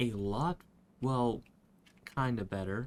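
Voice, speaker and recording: Soft-spoken and very slow, a man talks at medium pitch with ordinary pitch variation. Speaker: gaming video creator. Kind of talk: gameplay commentary. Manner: quiet, soft-spoken; hesitant, stammering.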